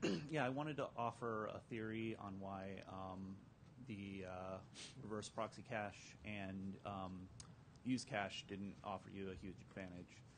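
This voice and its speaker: A man with an unremarkable speaking voice, fairly low and fairly slow, with ordinary pitch variation and light background noise. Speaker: audience member asking question; audience member. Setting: conference room with audience. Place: hall.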